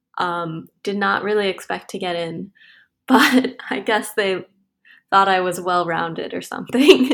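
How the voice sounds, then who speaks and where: A woman with an American accent in a normal speaking voice, medium pitch and ordinary pitch variation, at a fairly slow pace on a very clean recording with a silent background. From US Midwest, Wisconsin. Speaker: mechanical engineer. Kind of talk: casual interview.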